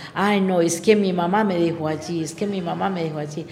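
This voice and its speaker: A woman's fairly low voice at a moderate pace, with fairly even intonation and audible room echo. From Antioquia, Colombia (Heliconia). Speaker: schoolteacher. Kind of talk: radio interview.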